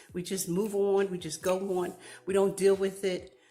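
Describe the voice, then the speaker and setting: With music playing behind her, a woman speaks at a fairly slow pace. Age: 60s. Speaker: advocate. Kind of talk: testimony.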